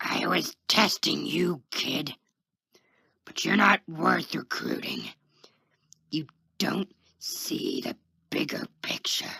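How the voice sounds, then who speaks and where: Using a raspy, put-on character voice, a man speaks at a very slow pace with long, frequent pauses in a dry, close sound with no echo. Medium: read story. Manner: cocky, condescending.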